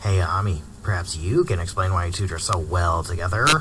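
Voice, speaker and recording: Through loud background noise, a man uses a put-on character voice with a very deep, low pitch at a fairly quick pace. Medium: audio drama. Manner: teasing, combative.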